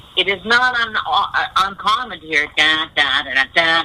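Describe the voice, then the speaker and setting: A woman with an American accent talks fairly slowly with lively intonation over noticeable background noise. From USA. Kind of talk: radio interview.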